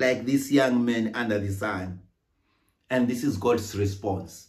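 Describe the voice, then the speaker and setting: A man speaks very slowly, and the background is quiet. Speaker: minister. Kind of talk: sermon. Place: home room. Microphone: phone near.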